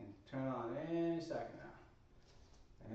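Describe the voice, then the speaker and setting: A mumbling man speaks with ordinary pitch variation amid noticeable background noise and audible room echo. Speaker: fitness instructor. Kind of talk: workout livestream. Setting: home workout livestream.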